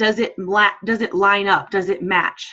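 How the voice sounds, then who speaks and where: A woman speaks at a medium pitch in a bright, sharp tone. Her delivery sounds animated. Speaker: fill-in host of a sales team training call. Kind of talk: team training call. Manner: fast.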